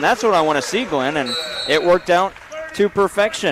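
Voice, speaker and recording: A loud, high-pitched man's voice, fairly quick and lively in intonation, over noticeable background noise. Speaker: play-by-play announcer. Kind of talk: live sports commentary. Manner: fast.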